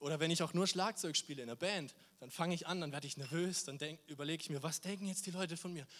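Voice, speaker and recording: A high-pitched male voice, animated in tone, at a very fast pace. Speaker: volunteer youth preacher. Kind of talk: sermon.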